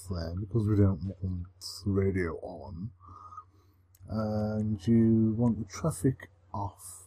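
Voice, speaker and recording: Somewhat breathy and fairly low in pitch, a man speaks at a very slow pace. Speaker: gaming commentator. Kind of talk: casual gameplay commentary.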